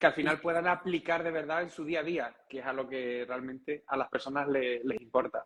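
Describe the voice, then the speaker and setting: With hardly any pauses, a man speaks fairly quickly in a fairly high voice with ordinary pitch variation. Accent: Canarian. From Canary Islands, Gran Canaria. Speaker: breathing and meditation instructor. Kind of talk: casual interview chat.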